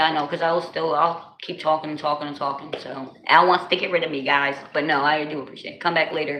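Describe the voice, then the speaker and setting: This woman has an American accent and a fairly low pitch. She speaks at a fairly quick pace, with audible room echo. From New Jersey. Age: 40s. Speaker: livestreamer. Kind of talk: casual chat. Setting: livestream. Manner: animated.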